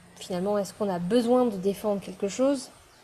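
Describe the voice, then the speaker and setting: A woman speaks at medium pitch. Her voice is somewhat breathy, with a dark, mellow tone. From France, Pyrénées-Atlantiques. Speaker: spiritual teacher. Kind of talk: online masterclass. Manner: hesitant, many fillers.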